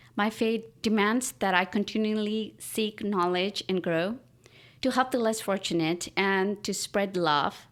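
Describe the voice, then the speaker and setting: A woman with a Pakistani accent speaks at a medium pitch with ordinary pitch variation and a fairly slow pace. The recording is very clean, with a silent background. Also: very even loudness. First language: Urdu. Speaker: artist and writer. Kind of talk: interview. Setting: at her home.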